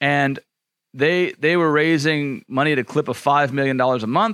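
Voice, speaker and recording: At a moderate pace, a man talks in an ordinary speaking voice with a fairly high pitch. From Louisiana, US South. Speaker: podcast host and author. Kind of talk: casual conversation.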